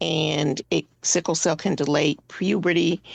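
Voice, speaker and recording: A woman speaks at a very slow pace with a very deep, low pitch and vocal fry. The intonation is fairly even, and the sound is dry and close with no echo. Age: 60s. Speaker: patient advocate, board member with sickle cell disease. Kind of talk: radio interview. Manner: halting, many fillers.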